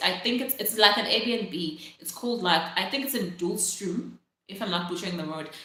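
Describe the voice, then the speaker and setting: A woman's voice with very wide pitch swings and audible room echo. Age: 20s. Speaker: live streamer. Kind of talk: casual live stream chat. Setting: live stream. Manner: chatty, filler-heavy.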